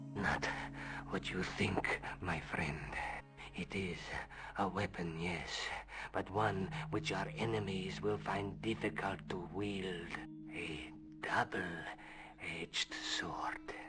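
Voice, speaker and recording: A man's put-on character voice, very deep and low, at a very slow pace with long, frequent pauses over clear background noise. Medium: video game. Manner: solemn, measured, cryptic.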